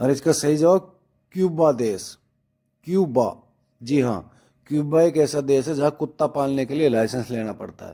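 Pausing long and often at a fairly slow pace, a man speaks at a fairly high pitch in a dark, mellow tone, with ordinary pitch variation and big swings in loudness. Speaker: quiz video host. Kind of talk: quiz presentation.

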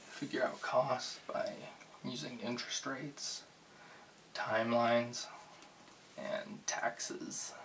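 Over light background noise, a soft-spoken man talks at a very slow pace with long, frequent pauses. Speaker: bookstore cashier role play. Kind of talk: ASMR roleplay. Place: home room. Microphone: studio mic.

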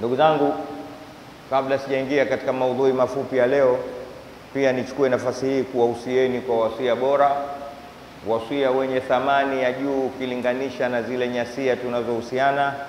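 A man speaks with a monotone, flat intonation. There is audible room echo and light background noise. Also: moderate pace. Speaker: preacher. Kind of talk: sermon. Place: church. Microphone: handheld.

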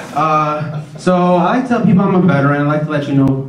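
A man's voice carries audible room echo, with light background noise underneath. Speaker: stand-up comedian. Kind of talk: stand-up comedy routine. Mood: wry, crude humor. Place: stage.

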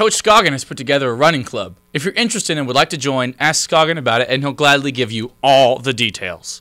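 A man talks at a very fast pace with hardly any pauses and lively intonation. The background is quiet. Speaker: student announcer. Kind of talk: school announcements. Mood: upbeat, playful. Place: studio. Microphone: handheld.

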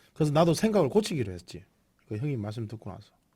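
Speech comes at a very fast pace in a Gyeongsang accent, with vocal fry and a dark, mellow tone. Pitch swings very widely in a very clean recording with a silent background. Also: man. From South Korea, Busan. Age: 40s. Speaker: internet broadcaster. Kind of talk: casual drinking livestream. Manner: rambling, informal.

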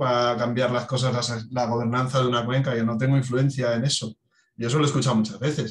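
Somewhat breathy and medium in pitch, a man speaks at a fairly quick pace. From Asturias, Spain. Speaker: water footprint specialist. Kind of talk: podcast discussion.

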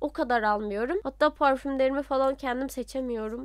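A woman speaks with a high pitch. Her pace is moderate. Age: 20s. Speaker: voice actor and YouTuber. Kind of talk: casual Q&A vlog.

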